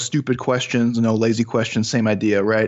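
A man with a Chicago accent talks at a fairly quick pace. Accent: Chicago American. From US Midwest, Chicago. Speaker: sports scientist. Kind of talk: casual interview Q&A.

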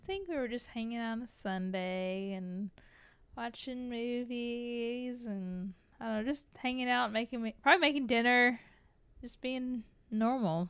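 Ordinary variation marks the pitch. The delivery is fairly slow. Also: woman, high pitch for a woman. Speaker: host's wife. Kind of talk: casual chat.

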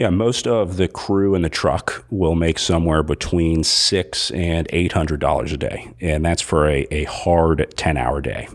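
A man's very deep, low voice at a fairly slow pace, with hardly any pauses. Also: ordinary pitch variation. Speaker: race announcer and live-stream producer. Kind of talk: casual interview. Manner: halting, many fillers.

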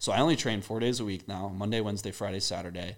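In a very clean recording with a silent background, a man with an American accent speaks very fast at a fairly low pitch with fairly even intonation. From US, Maryland. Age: 20s. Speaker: skincare brand founder. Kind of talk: casual interview. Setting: in person studio.

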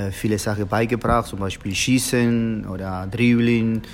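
A man with a Spanish accent speaks at a moderate pace with fairly even intonation. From Argentina. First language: Spanish (speaking German). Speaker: football coach, former professional footballer. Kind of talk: interview. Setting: hotel, in person. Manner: halting, many filler sounds.

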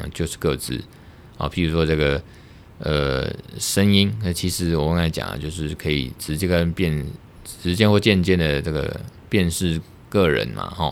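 Very deep and low, a man's voice comes through with a Taiwanese accent. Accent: Taiwanese Mandarin. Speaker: lawyer and podcast host. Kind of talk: solo podcast monologue on law. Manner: casual, hesitant with fillers.

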